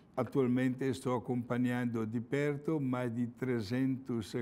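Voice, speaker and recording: In an Italian accent, a man speaks with a dark, mellow tone. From Italy, Milan. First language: Italian (speaking Portuguese). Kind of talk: religious talk.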